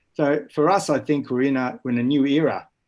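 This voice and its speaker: The speaker is a man with an Australian accent, talking at a fairly quick pace. The recording is very clean, with a silent background. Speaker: school educator. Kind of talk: panel discussion.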